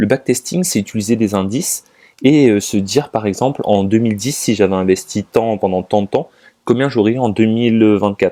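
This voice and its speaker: A man with a fairly low pitch and a dark, mellow tone speaks at a moderate pace with ordinary pitch variation, the sound dry and close with no echo. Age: 20s. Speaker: finance YouTuber. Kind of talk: casual talk to camera. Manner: halting, many fillers.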